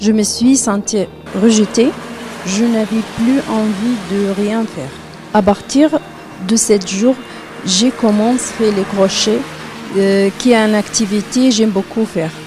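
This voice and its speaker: With a Libyan accent, a woman talks at a very slow pace with long, frequent pauses. Her fairly high pitch has ordinary variation, and there is noticeable background noise. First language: Arabic (speaking French). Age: 30s. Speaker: participant in testimonial video. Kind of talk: testimony. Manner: halting.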